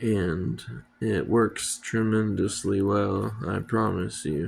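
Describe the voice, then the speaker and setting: Speaking at a very slow pace, this man keeps his intonation fairly even. His pitch sits fairly low. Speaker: first-time YouTuber giving DIY skincare tips. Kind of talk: casual talk to camera. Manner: hesitant, many fillers.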